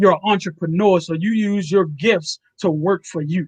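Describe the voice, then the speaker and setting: A man speaks at a moderate pace in a high pitch. The sound is dry and close, with no echo. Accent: Baltimore. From Baltimore, Maryland. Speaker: comedian and show host. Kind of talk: casual interview chat.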